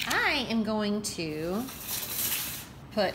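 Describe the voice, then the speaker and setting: Noticeable background noise can be heard as a woman speaks. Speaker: teacher. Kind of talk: tutorial. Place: kitchen. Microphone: phone near.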